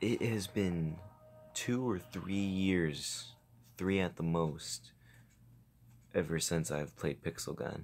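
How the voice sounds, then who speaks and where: There's ordinary pitch variation in this man's quiet speech. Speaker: gaming YouTuber. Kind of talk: gameplay commentary. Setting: home recording at night with face cam.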